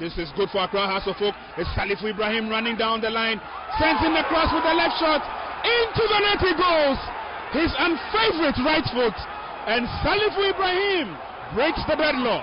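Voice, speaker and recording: A man with an extremely high pitch speaks at a moderate pace, his voice swinging very widely in pitch over noticeable background noise. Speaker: football commentator. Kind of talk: live sports commentary and post-match interview. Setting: outdoors at stadium.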